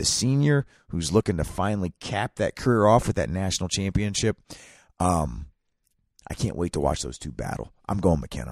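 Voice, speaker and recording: A man's very deep, low voice with vocal fry and very wide pitch swings, on a very clean recording with a silent background. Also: moderate pace. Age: 30s. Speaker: wrestling podcast co-host. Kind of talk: casual chat. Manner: animated.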